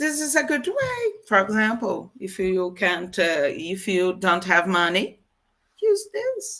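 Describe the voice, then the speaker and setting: A woman with a Portuguese accent speaks at a very slow pace in a bright, sharp tone. Her pitch swings very widely. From Brazil. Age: 50s. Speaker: guest speaker. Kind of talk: interview. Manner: halting.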